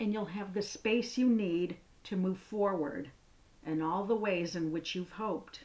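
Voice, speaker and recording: A woman talks in an ordinary speaking voice at a medium pitch. She speaks at a fairly slow pace, with ordinary pitch variation. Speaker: podcast host. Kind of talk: guided meditation. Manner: slow, soothing, calm; gentle, unhurried, with pauses.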